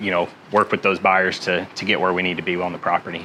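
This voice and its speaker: Over noticeable background noise, a man talks at a very fast pace in a very deep, low pitch with monotone, flat intonation. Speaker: certified auctioneer and commercial sales associate. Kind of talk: interview answer.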